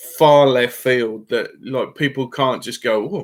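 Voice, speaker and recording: A man with a Birmingham accent and a fairly high pitch at a moderate pace. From Birmingham, England. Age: 50s. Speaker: fishing YouTuber. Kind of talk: live stream chat. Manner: halting.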